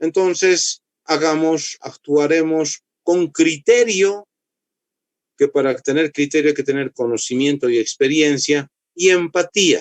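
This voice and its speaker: At a very slow pace, a man with a fairly high pitch speaks with ordinary pitch variation in a dry, close sound with no echo. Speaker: medical lecturer, orthopedic doctor. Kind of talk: lecture. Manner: dry, strict.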